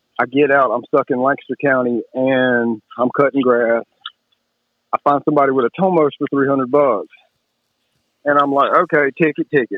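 Speaking with a Southern US accent, a man keeps a moderate pace, fairly even intonation and very even loudness, with long, frequent pauses. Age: 30s. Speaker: moped rider. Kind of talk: casual chat.

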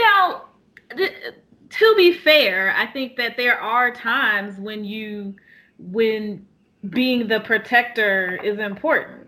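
Speaking at a very slow pace, a woman uses lively intonation and a fairly high pitch. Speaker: podcast co-host. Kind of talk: casual chat.

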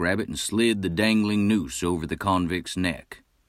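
A natural voice reads the text aloud.

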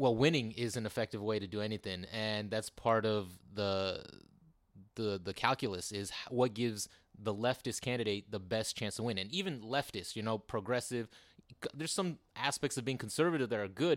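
On a very clean recording with a silent background, a man with an ordinary speaking voice talks at a medium pitch and fairly quick pace with ordinary pitch variation. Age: 30s. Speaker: political candidate. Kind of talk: interview.

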